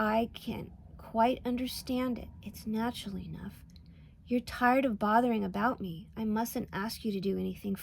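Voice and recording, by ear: Pitch varies in an ordinary way as a natural voice reads aloud.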